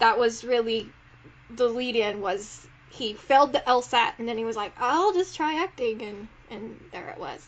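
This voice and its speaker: The speaker has an American accent and ordinary pitch variation. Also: woman, fairly high pitch for a woman, moderate pace, big swings in loudness. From South Carolina. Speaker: podcast host. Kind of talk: casual chat.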